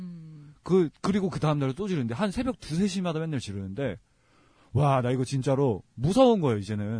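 Somewhat breathy and dark, mellow in tone, a man talks at a fairly quick pace with fairly high pitch and very wide pitch swings. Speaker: podcast host. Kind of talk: casual chat.

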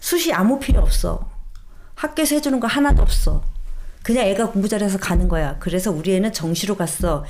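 A woman's fairly quick speech with very wide pitch swings, against noticeable background noise. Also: medium pitch for a woman. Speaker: reporter. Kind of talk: casual interview chat about education news.

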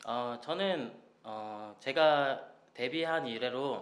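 There is audible room echo around a man speaking at a medium pitch with ordinary pitch variation. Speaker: singer. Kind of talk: casual radio interview.

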